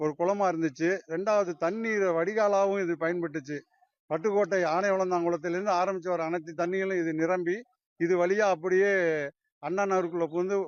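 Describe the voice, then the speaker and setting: This man has a high pitch, very even loudness and fairly even intonation. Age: 60s. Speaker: farmer. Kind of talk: interview statement.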